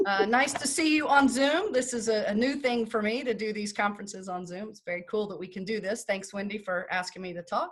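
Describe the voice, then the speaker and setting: A woman talks at a fairly quick pace with hardly any pauses, her voice somewhat breathy and fairly high in pitch. Her loudness swings a lot, while her pitch variation stays ordinary. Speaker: estate planning lawyer. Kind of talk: lecture. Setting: video call. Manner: fast.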